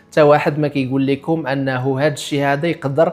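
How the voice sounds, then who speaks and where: A man talks at a fairly high pitch. His pace is moderate. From Morocco. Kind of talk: casual talk to camera.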